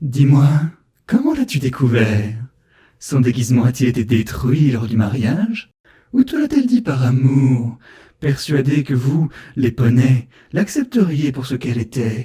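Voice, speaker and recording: A man puts on a character voice at a medium pitch. He keeps a moderate pace with long, frequent pauses. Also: ordinary pitch variation. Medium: read story. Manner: disdainful, mocking.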